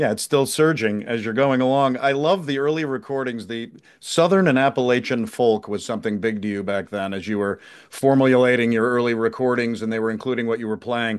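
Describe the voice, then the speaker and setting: Fairly quick and set against a quiet background, a man's medium-pitched speech has ordinary pitch variation in a plain, everyday voice. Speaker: podcast host. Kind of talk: interview questions.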